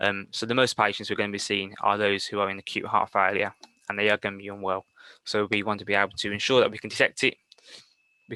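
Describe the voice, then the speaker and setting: A man with a Birmingham accent speaks very fast at a fairly low pitch in a bright, sharp tone. The sound is dry and close with no echo, against a quiet background. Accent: Brummie. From Birmingham, England. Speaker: paramedic. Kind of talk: lecture. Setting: webinar.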